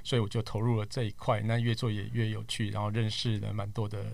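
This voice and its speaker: Somewhat breathy and fairly low in pitch, a man talks at a fairly quick pace with fairly even intonation. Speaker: tech podcaster and media worker. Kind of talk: casual chat.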